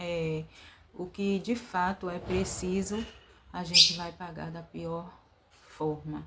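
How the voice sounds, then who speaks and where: A woman's bright, sharp tone sits at a fairly low pitch, with fairly even intonation. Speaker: vlogger. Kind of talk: inspirational talk. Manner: hesitant fillers.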